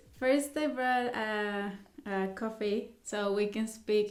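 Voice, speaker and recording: With a Mexican accent, a woman speaks at a fairly high pitch and with fairly even intonation, and some room echo can be heard. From Mexico. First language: Spanish. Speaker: vlogger. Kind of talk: casual vlog talk to camera. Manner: halting.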